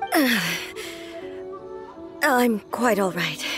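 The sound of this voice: A woman's put-on character voice, fairly high-pitched, with lively intonation at a very slow pace over faint background music. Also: fairly bright tone.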